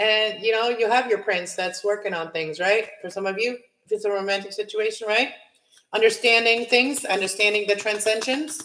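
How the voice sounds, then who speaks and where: Her pitch fairly high and its variation ordinary, a woman talks at a moderate pace. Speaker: tarot reader. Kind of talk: tarot reading monologue. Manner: loud; casual, filler-heavy.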